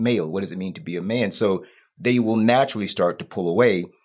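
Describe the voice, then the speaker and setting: On a very clean recording with a silent background, a man in an ordinary speaking voice talks at a fairly low pitch and fairly quick pace with ordinary pitch variation. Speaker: church member and father. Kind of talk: casual chat.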